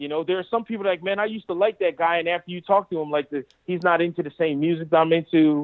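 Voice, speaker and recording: Delivered at a very fast pace with hardly any pauses, the speech has fairly even intonation and an American accent. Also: man, high pitch for a man. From Pennsylvania, Lancaster. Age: 40s. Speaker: golf reporter, former caddie and stand-up comedian. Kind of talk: casual interview. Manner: talkative.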